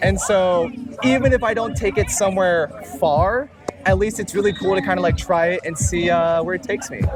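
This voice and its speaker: Over music in the background, a man with a Filipino accent speaks high-pitched and fairly quickly, with ordinary pitch variation. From Filipino family background. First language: Tagalog. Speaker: music producer. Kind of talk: casual interview. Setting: outdoors at the beach.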